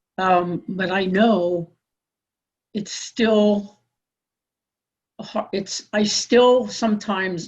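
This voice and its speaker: A somewhat breathy voice at a very slow pace. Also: woman. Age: 60s. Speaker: workshop participant. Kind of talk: workshop discussion. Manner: halting.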